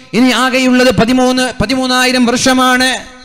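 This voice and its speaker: This man's voice has an extremely high pitch and a monotone, flat intonation. Noticeable background noise runs behind him. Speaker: Islamic preacher. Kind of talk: sermon.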